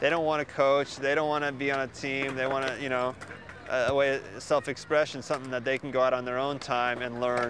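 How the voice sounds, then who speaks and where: A man talks at a fairly quick pace and medium pitch in a monotone, flat intonation amid noticeable background noise. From US, Oregon. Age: 30s. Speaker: skatepark designer and builder. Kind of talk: interview answers. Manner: casual, halting with repetitions.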